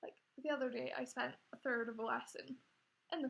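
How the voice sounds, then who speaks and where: This woman has a Scottish accent. Her pace is fairly quick. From Scotland. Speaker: vlogger. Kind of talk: personal testimony. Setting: home recording on laptop. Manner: hesitant, many fillers. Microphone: laptop.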